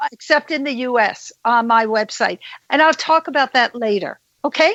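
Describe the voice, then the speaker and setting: A woman with a Brooklyn accent, high pitch, ordinary pitch variation, moderate pace, dry, close sound with no echo, and a quiet background. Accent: Brooklyn New York. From New York, Brooklyn. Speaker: psychic detective and medium. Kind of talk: interview.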